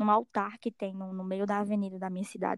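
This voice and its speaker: Recorded very cleanly against a silent background, with a dry, close sound and no echo, a woman speaks at a medium pitch. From Alto Sertão of Paraíba, Brazil. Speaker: undergraduate student, project scholarship holder. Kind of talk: casual podcast conversation. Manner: halting with many fillers.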